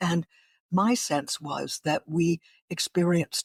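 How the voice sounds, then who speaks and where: A woman with an American accent speaks at a fairly low pitch in a somewhat breathy voice, the sound dry and close with no echo, in a very clean recording with a silent background. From northeastern Pennsylvania. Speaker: radio broadcaster. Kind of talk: interview.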